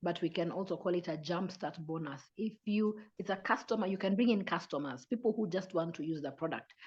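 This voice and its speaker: The speaker sounds somewhat breathy, moving at a fairly quick pace with hardly any pauses and ordinary pitch variation. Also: woman, medium pitch for a woman. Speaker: business presenter. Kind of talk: online sales presentation.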